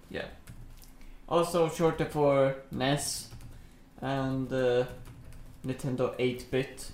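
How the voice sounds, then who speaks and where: A man speaks very slowly in a medium pitch, with a Swedish accent. His intonation is monotone and flat, broken by long, frequent pauses. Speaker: podcast co-host. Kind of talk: casual chat.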